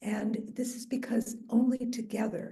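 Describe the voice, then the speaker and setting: A woman's fairly high voice has a dark, mellow tone and is somewhat breathy. Audible room echo surrounds it. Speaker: mayor and neighborhood association vice president. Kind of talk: public speech at community meeting. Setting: meeting hall with audience and microphone, also on Zoom.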